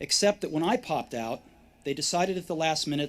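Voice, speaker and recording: A man speaks with ordinary pitch variation at a fairly high pitch. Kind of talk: commencement speech. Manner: conversational, relaxed, with pauses.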